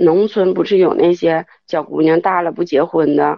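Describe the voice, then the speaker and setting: A woman speaks with a fairly low pitch and vocal fry. Her pace is moderate and her intonation fairly even. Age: 30s. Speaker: caller. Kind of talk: call-in confession. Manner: halting.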